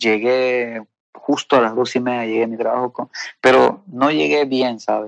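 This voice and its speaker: A man's medium-pitched voice, fairly even in intonation, at a moderate pace. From Peru. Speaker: testimony guest. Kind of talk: testimony. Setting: phone call. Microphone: WhatsApp call audio.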